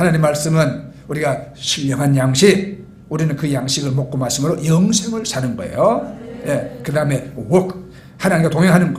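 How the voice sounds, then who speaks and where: Audible room echo and noticeable background noise surround this man's voice. His pitch sits fairly high, and his intonation is lively. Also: moderate pace. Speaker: pastor. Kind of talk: sermon.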